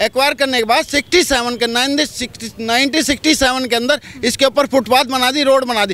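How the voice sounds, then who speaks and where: A man speaks in a raised, projected voice at an extremely high pitch, with fairly even intonation and hardly any pauses at a moderate pace. The sound is dry and close with no echo, over noticeable background noise. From Delhi. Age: 60s. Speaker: local resident complaining. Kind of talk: street interview.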